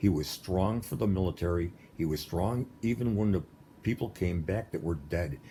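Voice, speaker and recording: A man with a very deep, low, somewhat breathy voice and a dark, mellow tone speaks at a moderate pace with ordinary pitch variation. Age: 60s. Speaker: political commentator. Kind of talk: monologue. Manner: animated.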